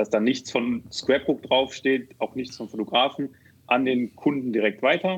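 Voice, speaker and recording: His pitch is medium and varies in an ordinary way. The speaker is a man at a moderate pace. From Rhineland, Germany (Neuss near Düsseldorf). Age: 30s. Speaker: software developer and founder. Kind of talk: podcast interview. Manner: hesitant, many fillers.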